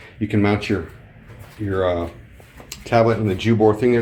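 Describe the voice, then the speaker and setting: Flat, monotone male speech, fairly low in pitch, over noticeable background noise. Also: long, frequent pauses. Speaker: video tutorial creator. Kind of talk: tutorial. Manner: casual, with filler words.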